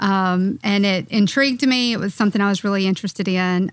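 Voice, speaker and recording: A woman's plain, everyday voice with fairly even intonation. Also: very clean recording, silent background. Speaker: firm administrator. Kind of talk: casual team podcast chat. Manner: uses many filler words.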